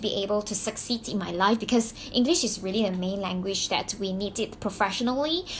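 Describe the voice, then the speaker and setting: Very fast speech in a Mandarin accent. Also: woman. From Malaysia (Malaysian Chinese). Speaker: YouTuber, business coach. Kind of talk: personal story vlog. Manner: halting, many fillers and restarts; animated.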